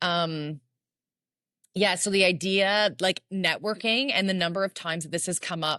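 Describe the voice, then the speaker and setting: Loud, with a bright, sharp tone and ordinary pitch variation, the voice moves at a moderate pace in a dry, close sound with no echo over a quiet background. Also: woman, medium pitch for a woman. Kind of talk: casual chat.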